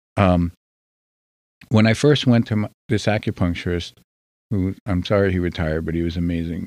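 A man with a very deep, low voice and a New Jersey accent talks at a fairly quick pace, with long, frequent pauses and ordinary pitch variation, on a very clean recording with a silent background. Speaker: podcast guest. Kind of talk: casual chat. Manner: quieter than usual.

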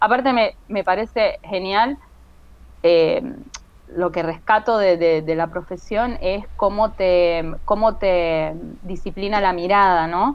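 At a very slow pace, a woman talks at a medium pitch. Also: ordinary pitch variation. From Venezuela, with childhood in Kansas City, US. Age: 40s. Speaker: comic artist and architect. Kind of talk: interview.

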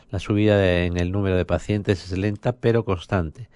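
The intonation stays fairly even. The sound is dry and close with no echo, over a quiet background. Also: man. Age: 50s. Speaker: radio host. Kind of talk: radio news and interview. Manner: hesitant, many fillers.

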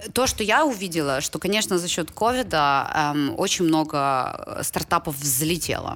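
Speaking at a fairly slow pace with hardly any pauses, a woman uses lively intonation in a very deep, low pitch. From Ukraine. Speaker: startup and venture fund development executive. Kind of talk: casual chat.

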